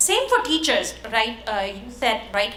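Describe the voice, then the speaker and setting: A woman speaks at a moderate pace with a non-native accent. Audible room echo and noticeable background noise surround her voice. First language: not English. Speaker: tech product leader, conference panelist. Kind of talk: conference panel talk. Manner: halting, many fillers.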